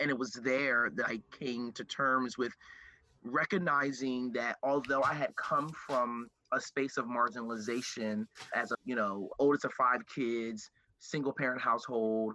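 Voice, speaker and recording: A man with an American accent speaks at medium pitch and a moderate pace, with fairly even intonation. His tone is bright and sharp, in a dry, close sound with no echo. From Camden, New Jersey. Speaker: diversity and inclusion director and consultant. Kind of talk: casual interview conversation.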